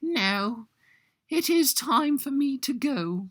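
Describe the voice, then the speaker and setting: A put-on character voice, pitched high, crawls along at a very slow pace. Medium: read story.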